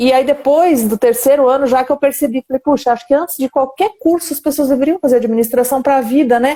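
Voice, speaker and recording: Her high-pitched voice moves at a fairly quick pace with hardly any pauses, very even loudness, and fairly even intonation. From Brazil, countryside. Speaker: live stream host, company director. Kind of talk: live stream interview. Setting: online live stream.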